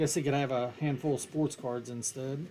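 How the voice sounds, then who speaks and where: Over noticeable background noise, a man talks in a strong West Virginian accent. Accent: thick West Virginian. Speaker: card break streamer. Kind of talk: live stream commentary. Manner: casual, joking.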